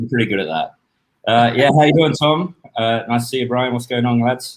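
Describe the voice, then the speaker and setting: Talking at a fairly quick pace, a man with an Australian accent has medium pitch and ordinary pitch variation. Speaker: rum brand ambassador. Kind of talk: casual chat.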